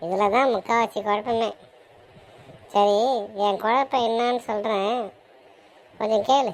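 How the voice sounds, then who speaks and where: A woman's cartoonish character voice, fairly high-pitched, fairly slow and fairly even in intonation. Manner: musing, calculating.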